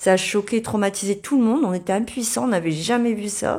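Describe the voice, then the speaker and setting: In a northern French accent, a woman at medium pitch talks at a moderate pace with ordinary pitch variation, on a very clean recording with a silent background. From northern France, Dunkirk. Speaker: therapy client. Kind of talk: testimony. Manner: halting.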